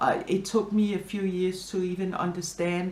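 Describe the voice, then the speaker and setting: With a Danish accent, the speaker talks at a moderate pace with fairly even intonation amid audible room echo. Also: woman. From Denmark, Copenhagen. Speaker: interviewee, immigrant. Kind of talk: interview. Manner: hesitant, many fillers.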